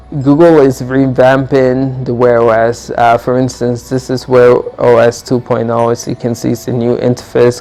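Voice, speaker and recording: Amid noticeable background noise, the speaker goes at a fairly slow pace with monotone, flat intonation. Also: man. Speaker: tech YouTuber. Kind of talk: product comparison review. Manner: halting, many fillers; casual.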